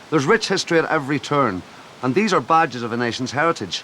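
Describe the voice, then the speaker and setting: Noticeable background noise sits behind a man's voice. He speaks very fast with lively intonation. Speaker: TV presenter. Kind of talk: TV documentary narration.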